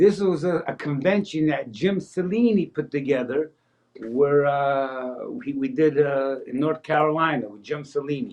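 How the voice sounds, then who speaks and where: In an unremarkable speaking voice, a man with an American accent talks at a fairly high pitch and fairly slow pace, his loudness swinging widely. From New Jersey, US (Paterson). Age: 60s. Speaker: magician. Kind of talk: interview.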